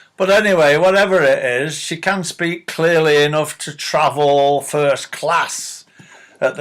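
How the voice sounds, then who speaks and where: A man with a Manchester accent speaks at a fairly slow pace with ordinary pitch variation. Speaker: political commentator vlogger. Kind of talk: opinion rant. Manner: animated.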